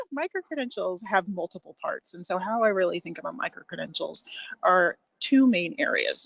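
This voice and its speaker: A woman speaks at a moderate pace with an American accent, and the sound is dry and close with no echo. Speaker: education program presenter. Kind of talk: webinar presentation.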